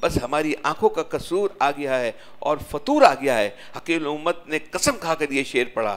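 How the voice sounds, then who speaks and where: A man speaks with very wide pitch swings. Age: 70s. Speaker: Sufi religious teacher. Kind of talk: religious sermon.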